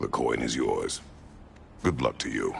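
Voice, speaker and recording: Growling in a put-on character voice, a man speaks at a moderate pace. Background noise is clearly heard. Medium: machinima. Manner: terse, clipped.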